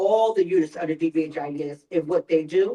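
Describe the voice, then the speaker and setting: A woman talks in a Philadelphia accent with a dark, mellow tone. Her pitch varies in an ordinary way. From North Philadelphia. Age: old. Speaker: mental health outreach worker. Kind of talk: town hall presentation. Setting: church town hall with audience. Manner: animated.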